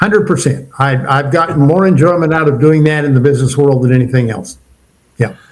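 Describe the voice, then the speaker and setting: Amid audible room echo, a man with a fairly high pitch talks at a very fast pace with ordinary pitch variation. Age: 70s. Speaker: retired entrepreneur and leadership mentor. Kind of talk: podcast interview.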